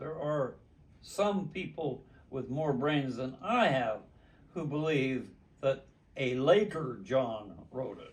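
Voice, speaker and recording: Noticeable background noise sits behind a man speaking at a very slow pace. His medium-pitched voice has lively intonation and big swings in loudness. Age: 80s+. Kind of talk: interview answer. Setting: living room.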